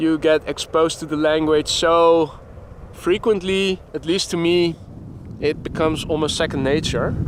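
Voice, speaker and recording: A man with a Dutch accent speaks in a monotone, flat intonation at a fairly high pitch and a moderate pace. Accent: Dutch accent in English, noticeable. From Netherlands. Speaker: plane spotting livestreamer. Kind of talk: live commentary. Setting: outdoors by airport runway. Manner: halting, stumbles over words.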